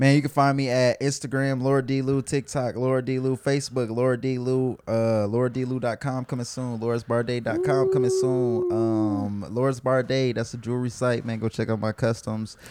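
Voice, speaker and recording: A man speaks at a moderate pace with hardly any pauses, his medium pitch held in a monotone, flat intonation, while noticeable background noise sits behind him. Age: 20s. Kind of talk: casual chat.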